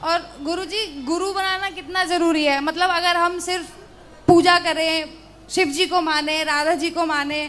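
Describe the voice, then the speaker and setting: A woman's extremely high voice, bright and sharp in tone, holds a flat, monotone intonation. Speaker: audience member asking a question. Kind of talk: question to a spiritual teacher.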